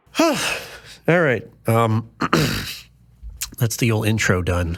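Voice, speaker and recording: Against a silent background, a man talks in a very clean recording. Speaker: podcast host and music producer. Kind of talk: casual chat. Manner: casual with many fillers.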